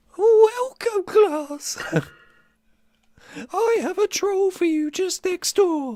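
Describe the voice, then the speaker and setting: A put-on character voice at an extremely high pitch, very slow with long, frequent pauses. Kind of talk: welcoming, teacherly. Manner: put-on character impression.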